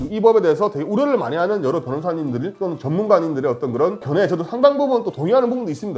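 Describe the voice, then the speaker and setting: The speech comes at a very fast pace. Noticeable background noise sits underneath. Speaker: lawyer. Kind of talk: legal explainer talk to camera. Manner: toned-down, calm.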